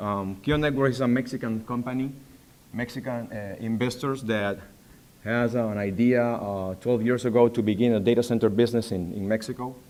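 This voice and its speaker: Speaking with a Spanish accent, a man keeps a moderate pace, a medium pitch and fairly even intonation. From Panama. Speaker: data center facilities manager. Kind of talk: conference presentation. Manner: halting.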